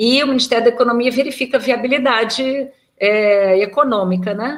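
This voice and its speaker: At a moderate pace, a woman with a high pitch and ordinary pitch variation speaks in a slight Rio de Janeiro accent. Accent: slight carioca. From Rio de Janeiro, Brazil. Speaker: veterinarian and federal agricultural auditor. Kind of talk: interview. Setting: recorded live video call.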